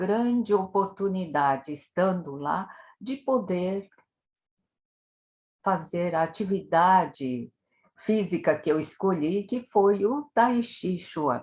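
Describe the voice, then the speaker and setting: A woman talks very slowly. Her voice is medium in pitch. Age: 70s. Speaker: tai chi instructor. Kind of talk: interview.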